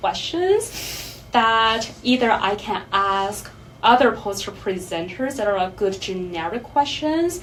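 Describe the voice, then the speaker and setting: Audible room echo surrounds a woman speaking at a fairly slow pace and a medium pitch. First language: not English. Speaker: counseling psychology PhD student. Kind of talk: panel discussion.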